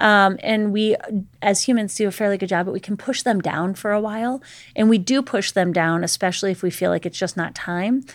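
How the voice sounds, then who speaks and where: A woman with an ordinary speaking voice talks at medium pitch and a fairly quick pace, with ordinary pitch variation. The recording is very clean and the background silent. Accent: American. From Pittsburgh, Pennsylvania. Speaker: trauma counselor. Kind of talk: interview.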